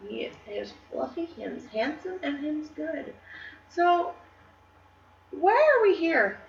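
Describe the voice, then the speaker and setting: A woman at a very slow pace, with long, frequent pauses, big swings in loudness and noticeable background noise. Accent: American. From Michigan, US Midwest. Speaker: podcast co-host. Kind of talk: casual chat.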